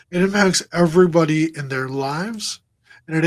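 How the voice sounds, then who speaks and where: A man has a normal speaking voice, fairly high in pitch with ordinary variation, on a very clean recording with a silent background. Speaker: crash survivor and motivational speaker. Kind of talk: interview testimony. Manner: repetitive, filler-heavy.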